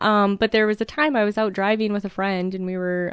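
This is a woman with a normal speaking voice. She talks at a fairly quick pace with a medium pitch. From Minnesota, rural. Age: 30s. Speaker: postal employee. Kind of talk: personal interview.

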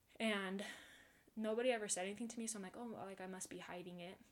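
A woman speaks very fast in a flat monotone. Room echo is audible. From Utah. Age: 20s. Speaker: guest sharing eating disorder story. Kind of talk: personal testimony.

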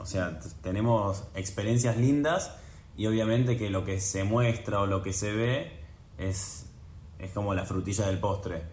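Against audible room echo, a man speaks fairly slowly in a fairly low, somewhat breathy voice with ordinary pitch variation. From Argentina, Buenos Aires. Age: 20s. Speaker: professional tennis player. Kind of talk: casual interview.

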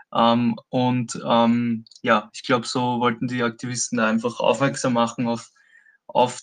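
Over a quiet background, a man talks at a very slow pace with a medium pitch. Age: 20s. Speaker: activist and protest organizer. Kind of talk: interview. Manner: hesitant, many filler sounds.

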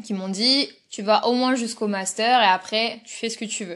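A woman's fairly high-pitched, fairly slow speech with ordinary pitch variation. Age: 20s. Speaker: zookeeper. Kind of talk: interview. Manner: halting.

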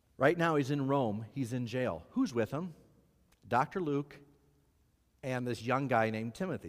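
A man with a medium pitch speaks at a moderate pace with lively intonation, leaving long, frequent pauses. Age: 50s. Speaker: pastor. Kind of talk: sermon. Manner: animated.

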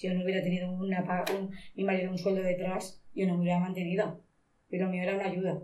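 Speaking very fast, a woman keeps a flat monotone at medium pitch. Room echo can be heard. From Spain, Monóvar, inland Alicante (Valencia region). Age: 50s. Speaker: shoe factory worker. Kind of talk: interview testimony.

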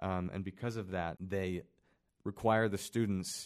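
In a very clean recording with a silent background, a man with a normal speaking voice talks at a moderate pace, his pitch fairly low and his intonation fairly even. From Kansas City, US Midwest. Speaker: student podcast host. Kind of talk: casual chat. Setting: library room.

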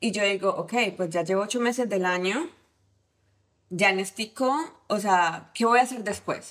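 With a Cali Colombian accent, a woman speaks fairly slowly at a medium pitch, using ordinary pitch variation and long, frequent pauses. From Colombia, Cali. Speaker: tech team lead, former au pair. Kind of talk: casual interview chat. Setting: host's home.

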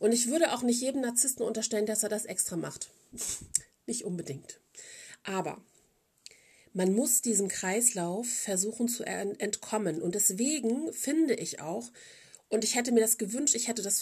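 A somewhat breathy voice at a moderate pace, with lively intonation and long, frequent pauses. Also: woman. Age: 40s. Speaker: podcast host. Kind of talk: casual monologue.

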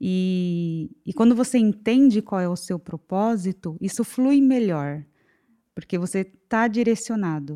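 In a very clean recording with a silent background, a woman with a dark, mellow tone speaks at a fairly slow pace with ordinary pitch variation, the sound dry and close with no echo. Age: 30s. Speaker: financial consultant. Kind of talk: casual chat.

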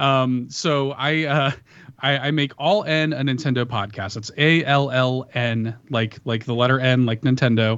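With an American accent, a man uses an unremarkable speaking voice at medium pitch. He speaks at a fairly slow pace, with ordinary pitch variation. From Chicago, US. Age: 30s. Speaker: podcaster. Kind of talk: casual chat. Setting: video call.

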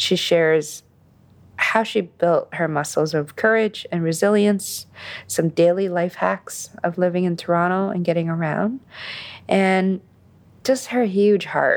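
A woman talks at a fairly slow pace in a plain, everyday voice. Her pitch is fairly low, with ordinary variation. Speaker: podcast host reading guest intro. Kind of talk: scripted introduction.

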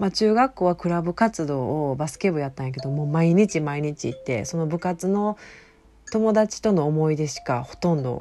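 A woman with a Kansai accent speaks at a very deep, low pitch, with lively intonation and big swings in loudness. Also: moderate pace. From Osaka, Japan. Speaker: podcast host. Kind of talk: solo monologue podcast. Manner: casual, meandering.

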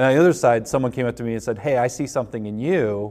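A man talks in an unremarkable speaking voice. His pace is fairly quick and his intonation lively. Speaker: high school pastor. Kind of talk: casual chat.

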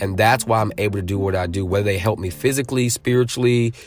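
Over music in the background, a man with a fairly low pitch speaks in an animated tone with ordinary pitch variation. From Connecticut, Norwich / New London area. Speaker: speaker, author and faith-based community leader. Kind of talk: casual interview chat. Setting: in person in Connecticut.

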